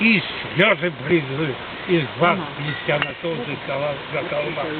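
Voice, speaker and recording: Over noticeable background noise, a man speaks at a very slow pace in a high pitch. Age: 80s+. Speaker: folk poet. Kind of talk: poetry reading.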